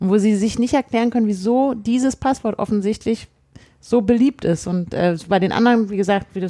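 A dark, mellow tone at a very fast pace, with ordinary pitch variation and a slight Berlin accent. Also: woman. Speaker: podcast co-host. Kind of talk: casual chat.

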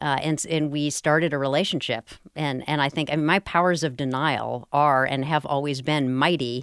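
The voice has an American accent and moves at a moderate pace with hardly any pauses and fairly even intonation. The recording is very clean, with a silent background. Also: woman, very deep, low pitch for a woman. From US South, Durham, North Carolina. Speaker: educator and surfer. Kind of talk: radio interview. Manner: halting, with frequent repetitions.

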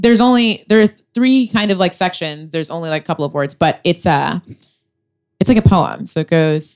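A woman with an unremarkable speaking voice talks at a fairly quick pace and a fairly low pitch. Her intonation is lively, and the sound is dry and close with no echo. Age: 20s. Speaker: comedian. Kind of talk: stand-up style live podcast chat. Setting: stage with audience.

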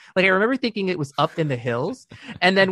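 In an American accent, a man talks with lively intonation and a bright, sharp tone, recorded with a dry, close sound and no echo. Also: quiet background. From Michigan, US (Dearborn). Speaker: podcast co-host, former teacher. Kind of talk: casual chat.

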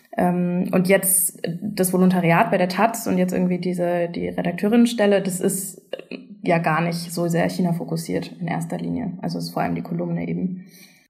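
A woman talks at a moderate pace, her voice carrying audible room echo and noticeable background noise. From Germany. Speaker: journalist. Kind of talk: casual chat. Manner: hesitant, many fillers.

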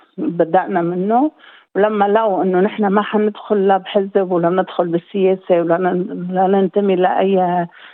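A woman speaks in an unremarkable speaking voice, medium in pitch with fairly even intonation. Her pace is fairly slow, with hardly any pauses and very even loudness. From Lebanon. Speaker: community services director. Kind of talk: interview.

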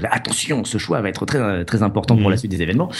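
With lively intonation, a man rattles along at a very fast pace. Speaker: video game journalist and author. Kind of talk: casual chat. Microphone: new microphone.

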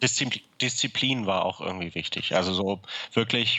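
A man at a moderate pace. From Hamburg, northern Germany. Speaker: guitar maker. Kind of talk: interview. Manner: halting, many filler words.

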